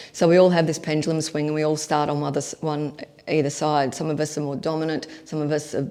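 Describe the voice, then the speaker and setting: A woman with an Australian accent, a very deep, low pitch and a dark, mellow tone, speaking at a very fast pace in a monotone, flat way. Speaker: leadership coach. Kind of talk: online workshop.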